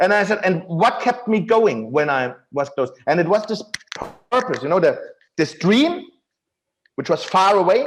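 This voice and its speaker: A man with a German accent speaks at a high pitch and a moderate pace, swinging very widely in pitch and leaving long, frequent pauses. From Germany. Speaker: self-help author. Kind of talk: interview.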